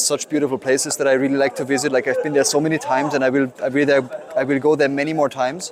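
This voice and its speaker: Noticeable background noise sits under a man with a German accent who talks very fast at a fairly high pitch in a monotone, flat delivery. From Germany. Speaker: photographer. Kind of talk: interview answer. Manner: hesitant, with fillers and repeats.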